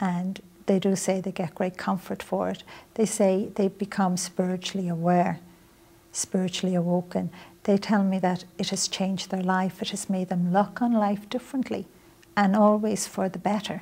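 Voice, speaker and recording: A woman speaks with a Dublin accent in a somewhat breathy, dark, mellow tone at a medium pitch. Her intonation is monotone and flat, at a moderate pace. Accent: Irish (Dublin). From Ireland, Dublin. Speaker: author and spiritual teacher; spiritual teacher. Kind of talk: interview. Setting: visit to New York. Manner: soft-spoken. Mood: calm, earnest, gentle. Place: studio. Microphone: lapel.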